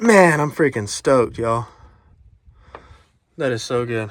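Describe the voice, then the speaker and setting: A man's animated, fairly slow delivery in a Southern US accent, broken by long, frequent pauses. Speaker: diesel truck mechanic vlogger. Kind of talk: casual vlog talk. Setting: outdoors at a commercial lot.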